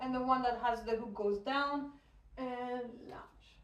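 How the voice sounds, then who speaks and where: Amid audible room echo, a woman with a French accent talks at a very slow pace in a high voice. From France. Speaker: hoop dance teacher. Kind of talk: tutorial. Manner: counting rhythmically while demonstrating.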